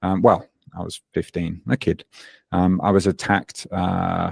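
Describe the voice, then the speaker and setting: In a Birmingham accent, a man with a very deep, low voice speaks at a fairly slow pace, recorded very cleanly with a silent background and a dry, close sound with no echo. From England, Birmingham. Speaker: fitness coach. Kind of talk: podcast interview. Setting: podcast.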